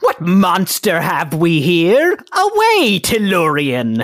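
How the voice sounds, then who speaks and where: A put-on character voice of middle pitch drawls along at a very slow pace. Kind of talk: archaic, dramatic. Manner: theatrical, declamatory.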